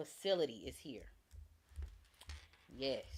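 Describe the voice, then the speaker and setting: This woman's voice sits fairly low in pitch. Vocal fry runs through it. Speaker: tarot reader and true crime livestreamer. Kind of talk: live stream tarot reading. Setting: live stream.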